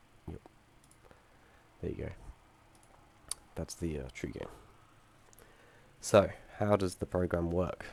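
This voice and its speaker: A man talks in a very deep, low pitch. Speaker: student game developer. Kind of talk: software demo presentation. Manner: halting with many fillers.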